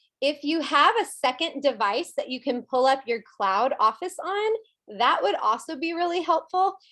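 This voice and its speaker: A woman's raised, projected voice, bright and sharp in tone, animated, with very wide pitch swings. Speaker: team leader in direct sales. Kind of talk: team training call. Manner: fast.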